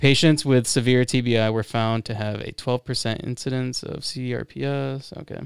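A man with an American accent and a plain, everyday voice speaks at medium pitch and a moderate pace, with fairly even intonation and hardly any pauses, on a very clean recording with a silent background. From Florida. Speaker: podcast host. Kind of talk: casual interview.

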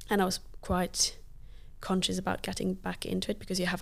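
A woman talks at a fairly quick pace. She speaks with a Luxembourgish accent. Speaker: parkour athlete and digital lead. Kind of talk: casual interview.

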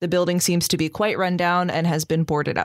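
In a very clean recording with a silent background, a woman with a normal speaking voice talks at a moderate pace and a fairly low pitch. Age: 20s. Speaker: dungeon master of actual play podcast. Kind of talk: tabletop game narration.

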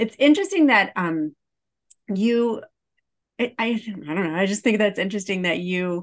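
A woman speaks with an American accent and ordinary pitch variation. The background is quiet. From Illinois, US Midwest. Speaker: podcast host, occupational therapist. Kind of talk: interview podcast, casual chat.

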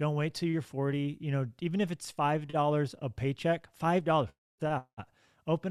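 This man has a plain, everyday voice, pitched fairly high with fairly even intonation. The recording is very clean and dry, close with no echo and a silent background. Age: 30s. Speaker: pastor. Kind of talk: interview.

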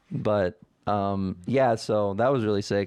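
With a fairly low pitch and fairly even intonation, a man talks in an ordinary speaking voice. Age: 20s. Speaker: podcast host. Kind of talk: casual chat. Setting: studio.

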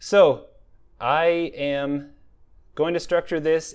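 A man on a very clean recording, with a silent background. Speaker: fantasy author and podcast host. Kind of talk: casual solo monologue about writing. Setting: in a truck parked at a truck stop.

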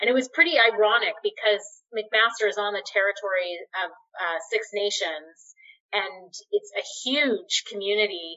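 With a Canadian accent and an unremarkable speaking voice, this woman talks at a moderate pace in a fairly high pitch with lively intonation. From Canada, Winnipeg, Manitoba. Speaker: physician and public health officer. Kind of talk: interview. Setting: video call.

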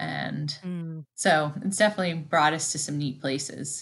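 A woman speaks at a moderate pace with fairly even intonation. Her voice sits very deep and low. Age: 40s. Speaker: ultramarathon runner. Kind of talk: interview.

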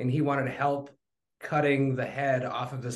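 Speaking at a moderate pace, a man with an ordinary speaking voice keeps his medium pitch at fairly even intonation. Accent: American. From Wisconsin. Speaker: barbecue cook. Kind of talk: casual interview.

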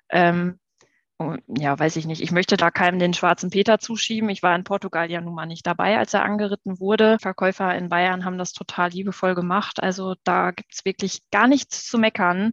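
The voice is a plain, everyday voice with fairly even intonation at a moderate pace. It sounds dry and close with no echo against a quiet background. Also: woman, medium pitch for a woman. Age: 30s. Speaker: horse rider, podcast guest. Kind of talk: casual chat. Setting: video call.

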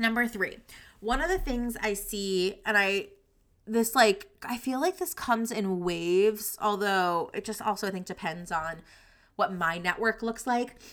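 On a very clean recording with a silent background, the speaker uses lively intonation at a moderate pace. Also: woman. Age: 30s. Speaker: career coach and podcast host. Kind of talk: solo podcast monologue with sales pitch.

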